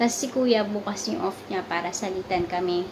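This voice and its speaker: A woman speaks over noticeable background noise. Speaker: vlogger, overseas worker in sales. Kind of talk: casual vlog chat. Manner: soft-spoken.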